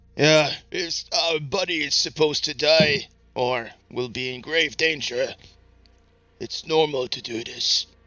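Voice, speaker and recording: In a put-on character voice, a man talks at a fairly slow pace with a fairly high pitch. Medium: actual play. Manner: blunt, friendly, easygoing.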